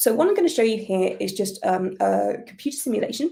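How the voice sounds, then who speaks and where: This woman has a British accent. She talks at a fairly quick pace. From United Kingdom. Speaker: astrophysicist. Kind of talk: public science talk. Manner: hesitant, with many fillers.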